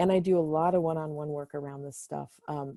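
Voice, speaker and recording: A woman's dark, mellow voice, very deep and low in pitch, with a dry, close sound and no echo. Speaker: spiritual counselor. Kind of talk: panel presentation. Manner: fast.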